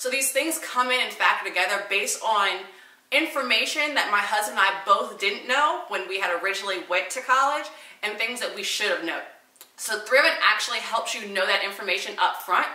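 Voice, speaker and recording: Over noticeable background noise, a woman with an American accent talks at a fairly quick pace, her fairly high voice carrying lively intonation. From Southern US. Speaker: lifestyle and fashion vlogger. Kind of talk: sponsored casual talk to camera.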